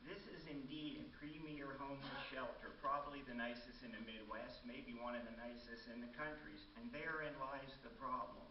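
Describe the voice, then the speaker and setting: A man talks at a moderate pace with hardly any pauses, and audible room echo can be heard. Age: 70s. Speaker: resident giving public comment. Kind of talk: public comment at city council. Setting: city council meeting.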